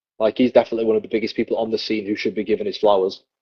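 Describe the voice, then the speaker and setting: This is a man's voice. He speaks with a Yorkshire accent. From northern England, Leeds (West Yorkshire). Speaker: professional wrestler. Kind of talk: casual interview chat.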